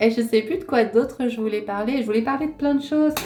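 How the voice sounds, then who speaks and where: This is a woman with a fairly high pitch. Her pitch varies in an ordinary way. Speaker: video creator. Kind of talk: casual chat. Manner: hesitant, many fillers.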